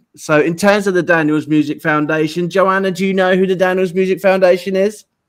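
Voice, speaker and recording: A man with an English accent speaks at a high pitch and a fairly quick pace. His intonation is monotone and flat. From England. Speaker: online radio show host. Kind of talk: live show chat. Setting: live studio, guest sitting beside him. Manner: relaxed, frequent fillers.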